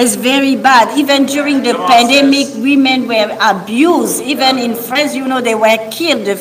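A woman with a French accent speaks at a high pitch and a moderate pace, her intonation fairly even, with noticeable background noise. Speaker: preacher. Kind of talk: sermon. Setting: stage with audience.

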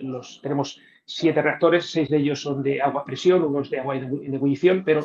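At a fairly quick pace, a man talks with a fairly high pitch and fairly even intonation. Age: 50s. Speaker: nuclear reactor operator and science communicator. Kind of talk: interview answering audience questions. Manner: hesitant, many fillers and repeated words.

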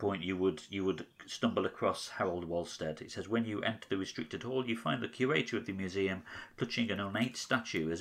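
An unforced reading voice, its pitch varying in an ordinary way

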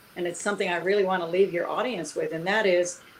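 Noticeable background noise fills the clip. Through it, a woman can be heard talking. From US, Cuban immigrant family. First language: Spanish. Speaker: entrepreneur, author. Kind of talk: interview.

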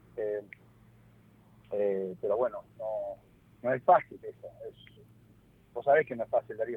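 In a Rioplatense accent, a man speaks at a fairly slow pace with long, frequent pauses. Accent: Argentine Spanish (rioplatense). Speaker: football player agent. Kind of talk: interview.

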